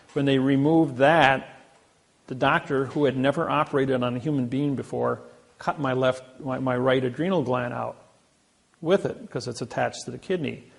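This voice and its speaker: With a Midwestern American accent, a man talks at a medium pitch. His pace is moderate and his intonation fairly even. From US Midwest, Indiana. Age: 60s. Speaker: seminar speaker. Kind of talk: seminar talk.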